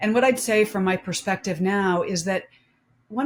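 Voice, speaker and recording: Somewhat breathy, a woman talks at a moderate pace and a medium pitch. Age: 50s. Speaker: domestic violence survivor and author. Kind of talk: panel discussion.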